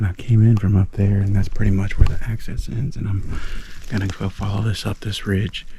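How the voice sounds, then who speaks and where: Speaking quietly with an American accent, a man uses a fairly low pitch, fairly even intonation and a moderate pace. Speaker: hunter. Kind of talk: hunting vlog narration. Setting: outdoors in the woods. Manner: quiet, hushed talk.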